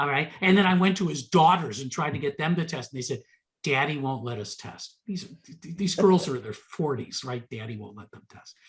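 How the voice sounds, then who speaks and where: With an American accent, a man speaks at a fairly high pitch in a somewhat breathy voice, his loudness swinging a lot. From United States. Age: 60s. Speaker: genealogy presenter. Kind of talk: Q&A after a presentation. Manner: stammering repetitions.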